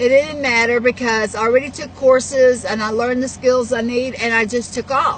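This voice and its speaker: There is noticeable background noise behind this woman. She has a high pitch and speaks with a Texas accent. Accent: Southern US (Texas). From Texas, Houston. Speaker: network marketer and vlogger. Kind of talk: personal life story monologue. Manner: halting, many fillers.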